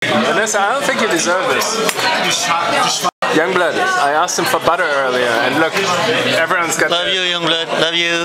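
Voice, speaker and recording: A man talks at a moderate pace while crowd noise carries in the background. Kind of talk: casual vlog chat. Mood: joking, playful complaining. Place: cafe. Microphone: phone near.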